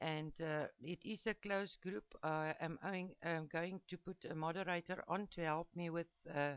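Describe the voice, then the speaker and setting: With a non-native accent, a woman speaks fairly slowly in a fairly low pitch, her intonation fairly even. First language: not English. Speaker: embroidery digitizing teacher. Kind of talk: tutorial. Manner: halting, many fillers.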